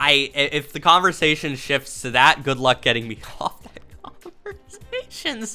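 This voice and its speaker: Through noticeable background noise comes a woman's animated tone and lively intonation. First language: not English. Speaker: streamer / content creator. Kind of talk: casual commentary while taking a quiz. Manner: halting, stuttering restarts.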